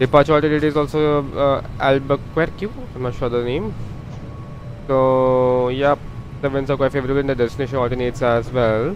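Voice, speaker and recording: Noticeable background noise is present throughout. Over it, a man talks fairly quickly. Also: medium pitch for a man. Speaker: flight sim streamer. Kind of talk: live gameplay commentary. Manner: halting, many fillers; fast.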